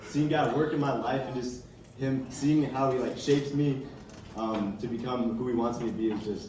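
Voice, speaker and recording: Amid audible room echo and noticeable background noise, a man at medium pitch speaks at a moderate pace. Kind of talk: testimony. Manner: casual, filler-heavy.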